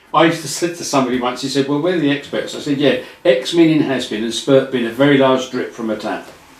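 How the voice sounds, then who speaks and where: Against noticeable background noise and audible room echo, a man with a fairly high pitch talks at a very fast pace with hardly any pauses and ordinary pitch variation. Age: 70s. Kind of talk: casual chat.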